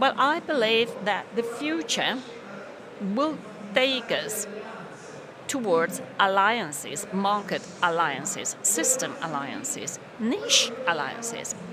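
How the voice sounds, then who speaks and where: A woman talks at a very slow pace with long, frequent pauses, her fairly high pitch swinging very widely. The recording has audible room echo and noticeable background noise. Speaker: conference speaker. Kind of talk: conference talk.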